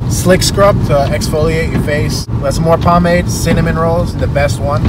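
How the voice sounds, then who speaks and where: A man talks at a moderate pace in a dry sound with no echo, with loud background noise around him. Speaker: vlogger. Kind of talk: casual vlog chat. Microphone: lapel.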